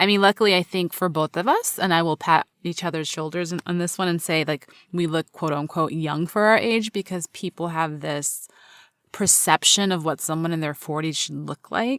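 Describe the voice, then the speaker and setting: Recorded very cleanly against a silent background with a dry, close sound and no echo, a woman has a normal speaking voice at a fairly low pitch, using ordinary pitch variation at a moderate pace. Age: 40s. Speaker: podcast host. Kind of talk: casual chat.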